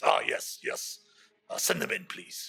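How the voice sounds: In a put-on character voice, a man sounds gruff and extremely high-pitched, speaking at a fairly slow pace.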